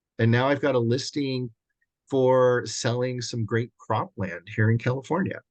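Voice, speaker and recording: A man's ordinary speaking voice at a medium pitch and moderate pace, with ordinary pitch variation. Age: 60s. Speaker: commercial real estate agent and mentor. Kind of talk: casual interview. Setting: video call.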